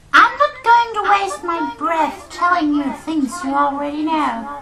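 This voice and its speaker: The voice is a put-on character voice, pitched high. Its pace is fairly slow. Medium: machinima. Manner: sarcastic, nagging.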